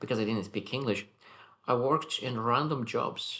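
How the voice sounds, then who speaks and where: Someone with a non-native accent talks at a fairly quick pace. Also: man. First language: not English. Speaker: self-improvement vlogger. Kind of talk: daily reflection monologue. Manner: halting, self-correcting.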